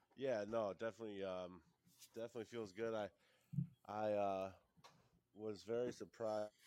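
A man with a fairly low pitch speaks in a dark, mellow tone at a moderate pace, his intonation monotone and flat, with long, frequent pauses. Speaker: pro wrestler, tag team champion.

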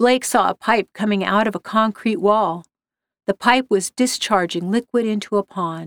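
Against a quiet background, plain reading aloud moves with ordinary pitch variation.

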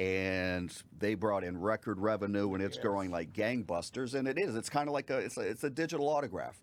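Speaking fairly quickly with lively intonation, a man has a fairly low pitch and an unremarkable speaking voice. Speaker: radio show co-host. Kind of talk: casual sports talk chat.

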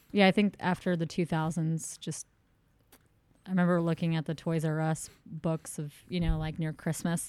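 Her pitch is fairly low for a woman, and she has a normal speaking voice with fairly even intonation at a moderate pace. The recording is very clean, dry and close, with a silent background and no echo. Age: 30s. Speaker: podcast co-host. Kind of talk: casual chat.

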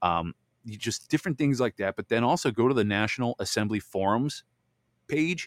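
A man speaks at a fairly quick pace and a medium pitch, with lively intonation, in a dry, close sound with no echo on a very clean recording over a silent background. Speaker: podcast host. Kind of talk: solo podcast commentary. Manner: fast.

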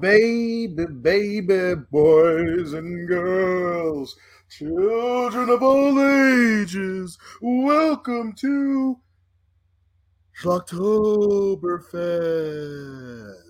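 Someone performs a put-on character voice with a theatrical tone at a middle pitch and a very slow pace. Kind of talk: showy. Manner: spooky, theatrical.

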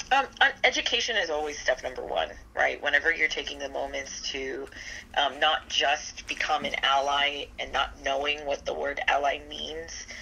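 Speech at a moderate speed, with noticeable noise in the background. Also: woman. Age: 30s. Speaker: marketing agency owner. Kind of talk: interview.

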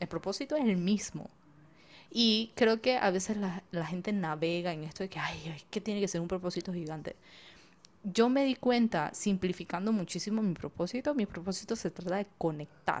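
In a very clean recording with a silent background, a woman with an ordinary speaking voice talks at a medium pitch and moderate pace, with ordinary pitch variation. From Panama. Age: 20s. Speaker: business coach and podcaster. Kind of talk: casual interview chat.

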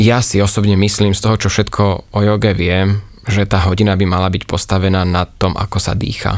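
The man's pitch is fairly low and his pace moderate. His intonation stays monotone and flat. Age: 30s. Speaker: yoga teacher. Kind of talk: casual interview. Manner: cheerful.

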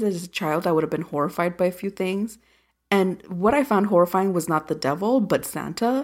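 In a very clean recording with a silent background, a woman speaks with a plain, everyday voice. Her pitch is medium with ordinary variation, and her pace is moderate. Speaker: podcast co-host. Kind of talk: casual movie review chat.

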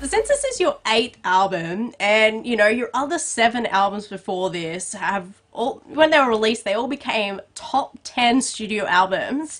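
Speaking with an Australian accent, a woman keeps a moderate pace and hardly any pauses, her fairly high voice carrying lively intonation and an upbeat, animated tone. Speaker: entertainment podcast host and interviewer. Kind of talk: celebrity interview.

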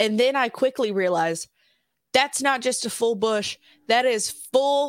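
A woman with a Southern US accent speaks in an animated tone at a fairly high pitch with ordinary pitch variation. The recording is very clean with a silent background. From Alabama. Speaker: podcast guest, film commentator. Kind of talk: casual chat.

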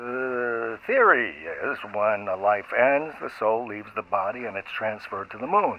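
With a normal speaking voice, a man speaks fairly slowly at medium pitch, showing ordinary pitch variation and big swings in loudness. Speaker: scientist character interviewed. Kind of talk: scripted fiction audio drama, interview scene. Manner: formal, measured, authoritative, cryptic.

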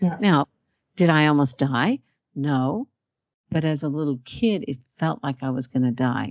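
With an Australian accent, a woman with a very deep, low pitch talks at a moderate pace, lively in intonation and taking long, frequent pauses. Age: 60s. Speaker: hypnotherapist and trauma specialist. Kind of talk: interview conversation.

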